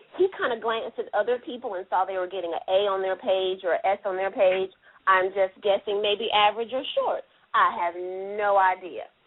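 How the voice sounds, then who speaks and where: A woman with a Southern US accent at medium pitch, moderate pace and ordinary pitch variation. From US South, Anderson, South Carolina. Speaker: podcast guest, fan who attended casting call. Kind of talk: casual chat.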